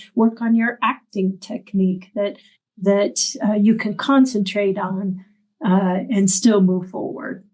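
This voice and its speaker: A very slow, somewhat breathy delivery in a dark, mellow tone, with ordinary pitch variation. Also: woman, medium pitch for a woman. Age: 60s. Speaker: arts center director and opera teacher. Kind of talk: interview conversation.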